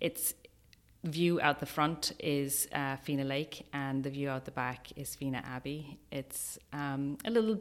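Speaking in an Irish accent, a woman has a very deep, low pitch with ordinary pitch variation. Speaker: wedding venue owner. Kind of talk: radio interview. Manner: hesitant, many fillers.

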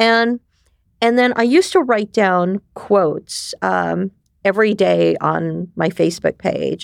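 On a very clean recording with a silent background, a woman speaks at a very slow pace in a dry, close sound with no echo. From New York City. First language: Japanese. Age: 50s. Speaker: ecosystem builder and community director. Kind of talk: casual interview chat.

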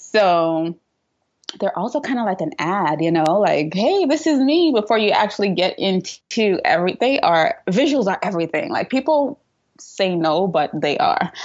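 With a slight Trinidadian accent, a woman talks at a moderate pace in a medium-pitched voice with very wide pitch swings. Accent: light Trinidadian. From Trinidad and Tobago. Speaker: PR and social media entrepreneur. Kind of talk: interview.

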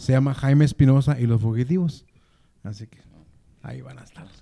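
Dark and mellow in tone, the voice moves at a fairly quick pace. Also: man. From Mexico, Durango. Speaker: musician, former drummer. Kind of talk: casual chat.

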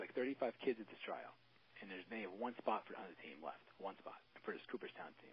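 With an American accent, this man speaks. His words pour out very fast. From Maryland. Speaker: law enforcement officer and youth baseball coach. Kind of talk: casual interview.

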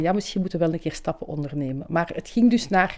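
Very fast in pace, a woman speaks with a fairly low pitch and a dark, mellow tone. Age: 60s. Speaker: nurse. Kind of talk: testimony.

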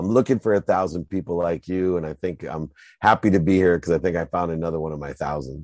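A man with an American accent, very deep and low in pitch with ordinary variation, at a very fast pace, in a dry, close sound with no echo and a quiet background. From US Midwest (Akron, Ohio). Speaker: sports agent and entrepreneur. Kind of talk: interview. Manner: animated.

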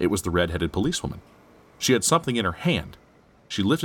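Here is someone doing plain reading aloud.

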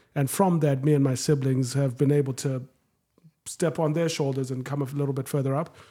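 A man speaks at a fairly quick pace in a fairly high pitch, his tone dark and mellow, somewhat breathy, with monotone, flat intonation. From Zimbabwe, Harare. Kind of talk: casual chat.

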